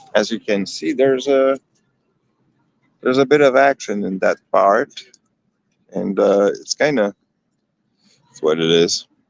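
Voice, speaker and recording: A man with a slight Quebec accent speaks fairly slowly, leaving long, frequent pauses. The sound is dry and close, with no echo. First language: French. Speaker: livestreamer. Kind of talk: live street stream commentary. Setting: outdoors at a protest. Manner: hesitant, many fillers.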